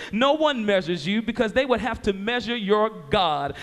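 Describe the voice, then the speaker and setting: At a moderate pace, a man speaks with lively intonation and a high pitch. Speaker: spoken word poet. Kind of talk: spoken word poetry performance.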